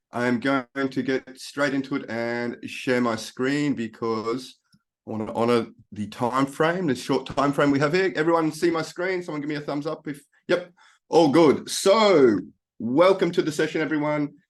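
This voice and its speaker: Against a quiet background, a man with an Australian accent talks at a moderate pace, with a fairly high pitch and ordinary pitch variation. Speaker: life coach. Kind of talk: webinar presentation.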